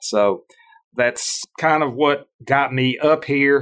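A man talks with a Mississippi accent and a bright, sharp tone. His intonation stays fairly even. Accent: Southern US (Mississippi). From US South, Starkville, Mississippi. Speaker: farm and land auction consultant. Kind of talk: interview.

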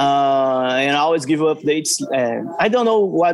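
Speaking fairly slowly, a man talks with a Portuguese accent. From Brazil. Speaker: fan account runner. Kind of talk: casual chat. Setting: video call. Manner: halting.

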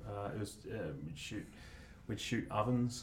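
Very slowly and somewhat breathily, a man with an Australian accent speaks at a fairly low pitch with ordinary pitch variation, with audible room echo. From Australia, Mornington Peninsula, Victoria. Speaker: commercial photographer. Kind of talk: casual chat. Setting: studio.

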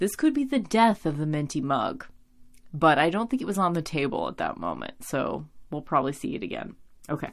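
A woman with vocal fry speaks fairly quickly at a very deep, low pitch, swinging widely in pitch. The recording is very clean with a silent background. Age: 30s. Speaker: podcast host. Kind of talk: casual chat. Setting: home recording late at night.

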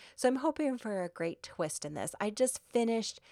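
Using a normal speaking voice, a woman with an American accent talks at a moderate pace with lively intonation on a very clean recording with a silent background. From US Midwest. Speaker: lawyer and podcast host. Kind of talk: solo podcast monologue.

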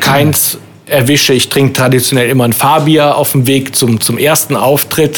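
A man at a medium pitch and fairly slow pace, monotone and flat in intonation, over noticeable background noise. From Rhein-Sieg-Kreis, Germany. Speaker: cabaret artist. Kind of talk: casual chat. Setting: pub.

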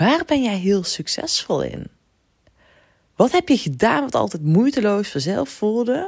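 Against a silent background in a very clean recording, a woman speaks fairly slowly at a medium pitch with very wide pitch swings. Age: 30s. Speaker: podcast host and business coach. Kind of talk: solo podcast monologue. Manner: animated.

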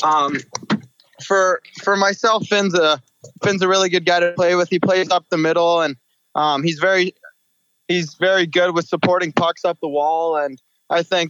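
This man's voice is high-pitched, with fairly even intonation. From British Columbia, Canada. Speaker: junior hockey forward. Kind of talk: interview.

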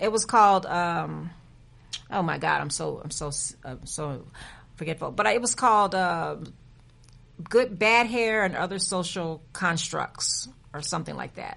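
Speaking with an American accent, a woman with a fairly low pitch and vocal fry uses lively intonation, big swings in loudness and long, frequent pauses. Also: fairly slow pace. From San Antonio, Texas (east side). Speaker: film festival founder, documentary filmmaker. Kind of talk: interview.

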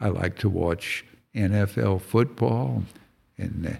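Very deep, low pitch from a man with a dark, mellow tone, in a very clean recording with a silent background. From California. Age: 80s+. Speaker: veteran big-game and waterfowl hunter, author. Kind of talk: casual interview. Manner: polite.

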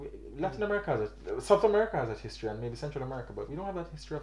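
Words come at a very fast pace amid audible room echo. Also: man. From Jamaica. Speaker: graduate student podcast co-host. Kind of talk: casual discussion.

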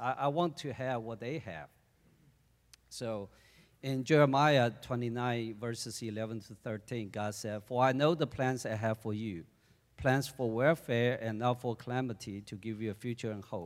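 A man talks at a moderate pace in a Chinese accent, his pitch medium with ordinary variation. The recording is very clean, with a silent background. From China. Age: 40s. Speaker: church deacon. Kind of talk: testimony.

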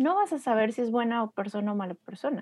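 A woman with an ordinary speaking voice talks at a moderate pace, her pitch fairly high, in a dry, close sound with no echo. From Mexico, Torreón (La Laguna). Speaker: graphic designer and strategic design consultant. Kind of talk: casual interview chat.

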